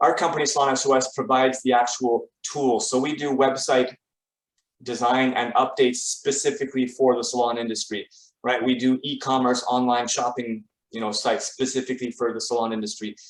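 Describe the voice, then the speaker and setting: Speaking with a Canadian accent, a man uses a medium pitch and fairly even intonation. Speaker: salon marketing company founder. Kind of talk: webinar presentation. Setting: video call. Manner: hesitant, many fillers.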